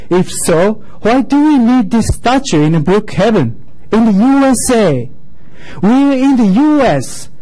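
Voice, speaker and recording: A man with a Japanese accent speaks at a high pitch with very wide pitch swings against a quiet background. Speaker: local resident speaking at public comment. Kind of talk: prepared public comment statement. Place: meeting room. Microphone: podium.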